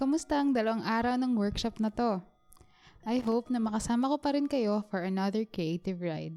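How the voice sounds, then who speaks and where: A woman's fairly high-pitched voice at a moderate pace, with ordinary pitch variation and music in the background. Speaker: bullet journal artist and workshop guest. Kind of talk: workshop tutorial narration.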